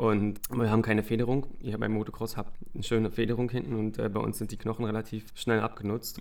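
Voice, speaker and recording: A man speaks at a very fast pace in a medium pitch. His intonation is monotone and flat. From Brandenburg, eastern Germany. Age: 30s. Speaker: retired speedway racer and youth coach. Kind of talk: casual interview.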